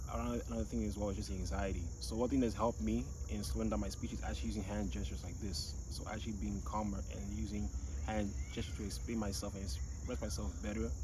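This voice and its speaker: Very fast speech with vocal fry, a dark, mellow tone, lively intonation and audible room echo. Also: man, very deep, low pitch for a man. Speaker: vlogger. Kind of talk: casual vlog monologue. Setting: outdoors, walking.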